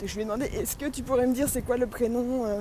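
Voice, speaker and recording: Speaking at a fairly quick pace, a woman with a high pitch sounds animated. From France. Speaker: vlogger and amateur comedian. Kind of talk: travel vlog monologue.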